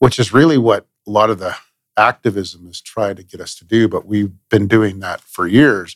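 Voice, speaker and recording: In a western Canadian accent, a man speaks on a very clean recording with a silent background. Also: dry, close sound with no echo. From Manitoba and Alberta, Canada. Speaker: police chief. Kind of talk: interview.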